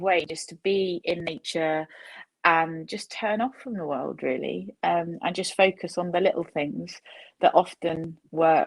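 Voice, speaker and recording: This woman, in an ordinary speaking voice with fairly low pitch, talks at a fairly slow pace on a very clean recording with a silent background. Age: 30s. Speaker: data scientist. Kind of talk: panel discussion. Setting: virtual panel.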